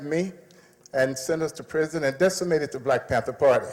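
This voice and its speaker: Through noticeable background noise, a man with a fairly high pitch talks at a fairly quick pace with fairly even intonation. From United States. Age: 70s. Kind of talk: speech. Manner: impassioned.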